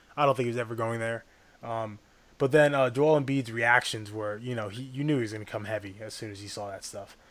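A man talks very fast at a medium pitch, his loudness swinging widely while his intonation stays fairly even. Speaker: sports podcast co-host. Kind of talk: casual chat.

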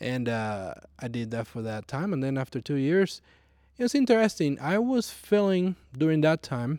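With a Puerto Rican accent, a man talks in a dark, mellow tone with very wide pitch swings, on a very clean recording with a silent background. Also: fairly high pitch for a man, moderate pace. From Puerto Rico. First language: Spanish. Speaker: flight instructor. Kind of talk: personal testimony interview.

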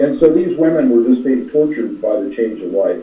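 With an American accent, this man talks as noticeable noise fills the background. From California. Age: 60s. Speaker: retired physician. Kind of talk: casual chat. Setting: video call.

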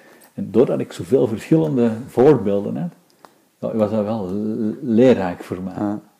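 A man with a dark, mellow tone, lively intonation and a fairly slow pace. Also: fairly low pitch for a man. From Antwerp, Belgium. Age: 50s. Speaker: interviewee. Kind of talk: interview.

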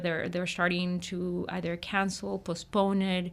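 A woman's medium-pitched voice at a moderate pace with monotone, flat intonation, on a very clean recording with a silent background. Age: 30s. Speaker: nonprofit census project director. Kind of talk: radio interview.

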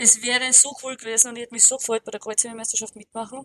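A woman with an Austrian accent, fairly high pitch and monotone, flat intonation, in a dry, close sound with no echo. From Austria, Alpine region. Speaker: powerlifter and gym owner. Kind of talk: casual interview.

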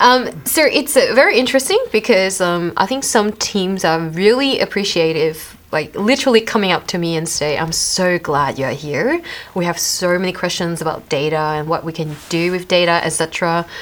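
A woman speaks at a fairly low pitch with lively intonation. Her pace is moderate, with noticeable background noise behind her. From Malaysia. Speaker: privacy advisor. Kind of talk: casual interview. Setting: studio.

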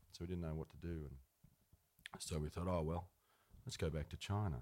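A man speaks with an Australian accent. His very deep, low pitch has a dark, mellow tone. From rural New South Wales, Australia. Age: 30s. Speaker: singer-songwriter. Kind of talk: interview on stage. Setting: live event with audience.

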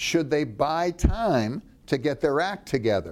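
Very wide pitch swings and vocal fry at a very slow pace. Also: man. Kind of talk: interview. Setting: filmed at a presidential library.

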